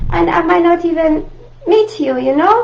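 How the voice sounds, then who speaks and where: A woman speaks with an Italian accent at a moderate pace. Noticeable background noise is present. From Italy, Rome. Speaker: art teacher. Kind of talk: live online art tutorial. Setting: live video stream. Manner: friendly, halting with fillers.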